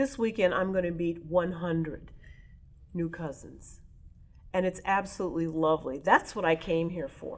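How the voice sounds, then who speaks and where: A woman with an American accent uses a normal speaking voice at a fairly low pitch and a moderate pace. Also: ordinary pitch variation. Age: 60s. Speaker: oral history interviewee. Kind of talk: interview.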